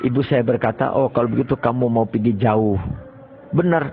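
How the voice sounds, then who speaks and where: A man talks at a moderate pace. Behind him, background noise is noticeable. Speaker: Islamic cleric and boarding school founder. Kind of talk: life story interview.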